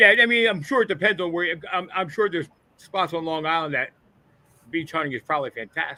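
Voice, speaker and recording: Lively intonation marks a man's high-pitched voice at a very fast pace. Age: 60s. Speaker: co-host of metal detecting show. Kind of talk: casual chat. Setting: live stream.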